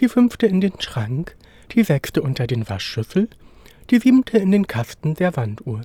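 Dry, close sound with no echo, a man's dark, mellow tone at a fairly high pitch, very wide pitch swings and a moderate pace. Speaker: storyteller reading a fairy tale. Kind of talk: bedtime story, scripted fairy-tale reading aloud.

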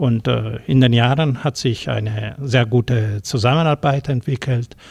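Speaking with an Italian accent, a man talks at a very slow pace. His voice is somewhat breathy. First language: Italian (speaking German). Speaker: former consulate education official. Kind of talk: studio interview. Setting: radio studio.

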